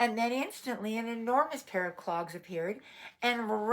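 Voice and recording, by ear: Reading aloud in a natural voice, with the pitch shifting in an ordinary way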